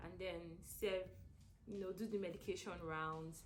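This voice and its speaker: A woman speaks in a Nigerian accent at a moderate pace. Room echo is audible. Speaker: stroke rehab nurse. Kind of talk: interview. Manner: hesitant, many fillers.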